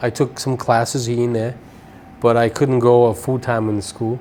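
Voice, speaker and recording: With a Brazilian accent, this man speaks at medium pitch and a moderate pace in a monotone, flat intonation. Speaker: cleaning business owner. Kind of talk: interview.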